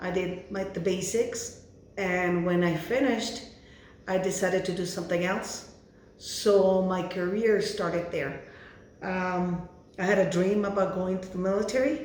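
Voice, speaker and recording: A woman speaks fairly slowly with fairly even intonation. Room echo is audible, and background noise is noticeable. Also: medium pitch for a woman. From Mexico, Ciudad Juarez, Chihuahua; US from age 12. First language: Spanish. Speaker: hairstylist, Navy veteran. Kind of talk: interview. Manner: halting, with fillers.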